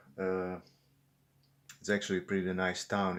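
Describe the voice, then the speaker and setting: Here a man talks in a Czech accent at a fairly low pitch. The recording is very clean, with a silent background. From Czech Republic. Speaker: vlogger. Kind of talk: unscripted vlog monologue. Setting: indoors at an apartment window, filming. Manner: halting, many fillers and repetitions.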